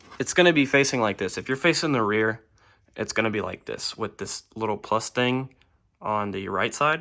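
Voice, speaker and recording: The recording is very clean with a silent background. A man at medium pitch speaks in a bright, sharp tone with ordinary pitch variation. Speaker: car DIY hobbyist. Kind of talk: tutorial. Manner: slow; casual, hesitant with fillers.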